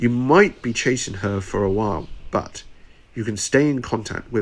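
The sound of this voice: What you hear is an unforced reading voice.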